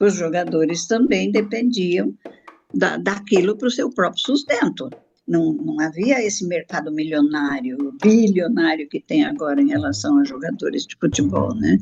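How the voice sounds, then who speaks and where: Her pitch fairly low and swinging very widely, a woman speaks at a fairly slow pace. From Brazil, São Paulo interior (Araçatuba). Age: 80s+. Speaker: former political prisoner, interviewee. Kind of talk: interview.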